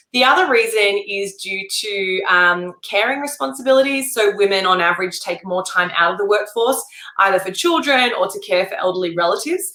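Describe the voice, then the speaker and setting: Against noticeable background noise, a woman with an Australian accent speaks at a medium pitch with lively intonation and hardly any pauses. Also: fairly quick pace. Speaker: entrepreneur, former journalist, pay gap advocate. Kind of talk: interview.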